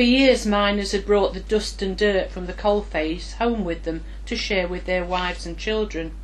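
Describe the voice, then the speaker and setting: A woman talks at a moderate speed while noticeable background noise runs behind her. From Nottinghamshire. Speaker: writer. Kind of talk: memoir reading.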